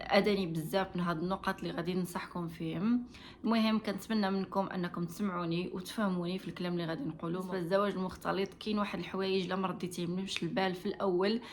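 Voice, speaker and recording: Speaking very fast with hardly any pauses, a woman has a Moroccan accent. Her medium-pitched voice keeps a fairly even intonation. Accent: Moroccan Darija. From Morocco. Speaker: vlogger giving marriage advice. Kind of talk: advice monologue to camera. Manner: hesitant, frequent fillers.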